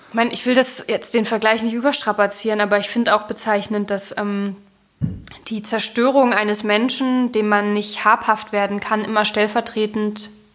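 Over noticeable background noise, a woman with a fairly high pitch talks at a moderate pace in a monotone, flat intonation. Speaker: writer, literary critic and podcast host. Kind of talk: literary discussion podcast. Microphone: sound less clear due to broken cable.

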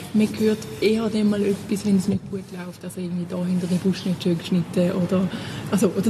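A woman with a Thurgau accent speaks in a monotone with flat intonation, over noticeable background noise. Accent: Thurgau Swiss German dialect. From Switzerland, Thurgau. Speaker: compost group volunteer. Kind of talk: interview.

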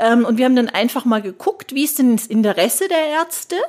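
At a moderate pace, a woman talks in a high-pitched voice. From Germany, Würzburg (Lower Franconia). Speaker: nurse and healthcare consultant. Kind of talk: interview.

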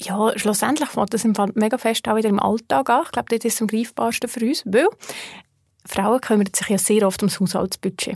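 In a plain, everyday voice, a woman speaks at a fairly high pitch and moderate pace with ordinary pitch variation, in a dry, close sound with no echo. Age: 30s. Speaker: personal finance educator. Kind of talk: interview conversation.

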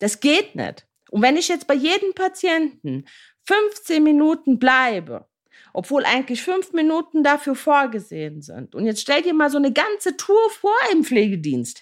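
A woman with a high voice speaks at a fairly slow pace with very wide pitch swings, in a very clean recording with a silent background. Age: 30s. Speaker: podcast host, care worker. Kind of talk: podcast monologue. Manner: animated.

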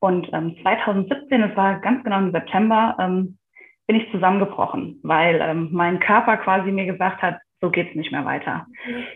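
A woman speaks at a medium pitch. Her pace is moderate, with ordinary pitch variation. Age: 30s. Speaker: kindergarten teacher and yoga teacher. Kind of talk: interview, personal testimony. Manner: hesitant, many fillers.

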